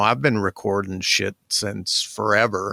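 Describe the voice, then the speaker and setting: With an American accent, a man speaks in a fairly low pitch with a bright, sharp tone and fairly even intonation, the sound dry and close with no echo in a very clean recording with a silent background. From Michigan Upper Peninsula. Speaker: music producer. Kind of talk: casual interview.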